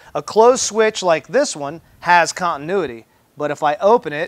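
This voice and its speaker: A man talks at a moderate speed, and the background is quiet. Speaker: mechanic instructor. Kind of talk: tutorial. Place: workshop.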